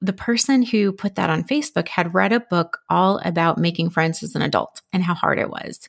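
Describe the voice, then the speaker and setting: A woman's plain, everyday voice, medium in pitch with ordinary pitch variation, at a moderate pace, in a dry, close sound with no echo. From Minnesota. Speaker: friendship coach and podcaster. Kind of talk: podcast interview.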